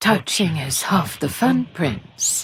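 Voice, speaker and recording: A put-on character voice at a middle pitch. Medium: read story. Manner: seductive, languid.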